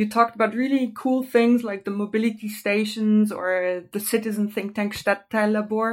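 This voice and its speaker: A woman with a German accent speaks at a fairly high pitch in a monotone, flat way, with hardly any pauses. The recording is very clean, with a silent background. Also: moderate pace. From Germany. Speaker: podcast host. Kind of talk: interview.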